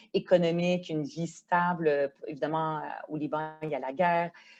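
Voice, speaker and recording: A woman with a Quebec accent speaks at a fairly low pitch in a dark, mellow tone. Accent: Québécois French. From Quebec, arrived from Lebanon at age ten. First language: Arabic (speaking French). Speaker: politician, member of provincial legislature. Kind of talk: podcast interview. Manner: hesitant, many fillers.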